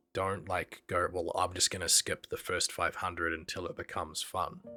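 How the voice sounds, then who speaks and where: Over music in the background, a man talks in a monotone, flat intonation at a very deep, low pitch. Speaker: concept artist and art director. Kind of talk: casual art tutorial talk.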